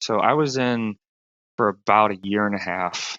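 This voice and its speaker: A man speaks at a fairly slow pace with a Southern US accent. His pitch sits fairly low. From rural South Carolina, US. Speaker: stand-up comedian, film crew worker, former Marine. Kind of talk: interview answer. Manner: casual.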